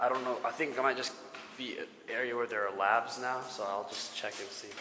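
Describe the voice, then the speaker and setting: With noticeable background noise and audible room echo, a man speaks fairly quickly at a medium pitch with fairly even intonation. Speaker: student vlogger giving campus tour. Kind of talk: casual walking tour vlog. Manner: naturally loud voice; keeping voice down.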